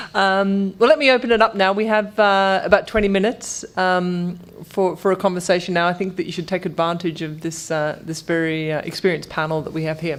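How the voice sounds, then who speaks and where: Speaking fairly quickly in an Australian accent, a woman uses a fairly low pitch with ordinary pitch variation. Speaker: panel moderator. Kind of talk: panel moderation.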